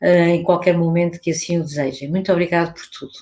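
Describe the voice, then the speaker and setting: A woman is speaking at a fairly low pitch. She has a European Portuguese accent. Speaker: academic researcher. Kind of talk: conference talk. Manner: halting.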